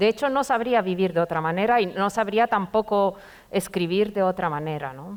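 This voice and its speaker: A woman speaks with a Romanian accent at a moderate pace. Her pitch is medium, with ordinary variation. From Romania, Bucharest. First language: Romanian (speaking Spanish). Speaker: poet and literature professor. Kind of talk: literary conversation before an audience.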